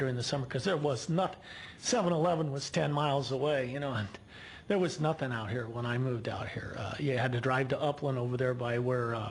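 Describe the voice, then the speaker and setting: A man with a medium-pitched voice talks at a very fast pace, his pitch varying in an ordinary way. There is audible echo from the room. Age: 60s. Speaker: local resident speaking at public comment. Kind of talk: public comment at city council. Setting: city council meeting. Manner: halting, many repeated words.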